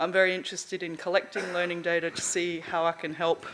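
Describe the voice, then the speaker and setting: The speech moves at a fairly quick pace with an Australian accent. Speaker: conference speaker on learning analytics. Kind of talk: lecture. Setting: stage with audience. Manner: fast.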